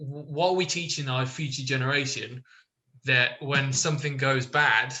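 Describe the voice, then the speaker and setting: With an English accent, a man talks at a moderate pace in a fairly high pitch, his intonation monotone and flat. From England, born in Israel. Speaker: online discussion participant. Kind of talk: casual chat. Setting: video call.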